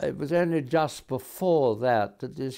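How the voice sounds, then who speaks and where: Lively intonation in a dark, mellow tone at a fairly slow pace, against a quiet background. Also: man. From England. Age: 80s+. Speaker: lawyer. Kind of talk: interview. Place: home room. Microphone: lapel.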